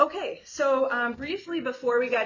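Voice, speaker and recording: A woman's lively intonation amid audible room echo. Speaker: conference speaker. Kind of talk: technical talk. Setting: conference room with audience, no mic. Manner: fast; loud.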